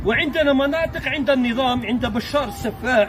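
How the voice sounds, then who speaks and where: A man's extremely high-pitched voice with ordinary pitch variation, at a fairly slow pace, with crowd noise in the background. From Algeria, Mostaganem province. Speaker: video blogger. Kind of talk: on-location video address. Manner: animated; halting.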